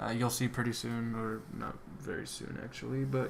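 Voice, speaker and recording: A man's medium-pitched voice at a moderate pace, with fairly even intonation and audible room echo. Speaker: YouTuber working on a constructed language. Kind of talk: casual voiceover commentary on screen recording. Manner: hesitant, many fillers.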